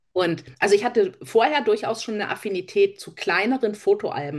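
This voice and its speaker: Here a woman is speaking. Her pace is moderate. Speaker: crafter, podcast co-host. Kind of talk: casual chat.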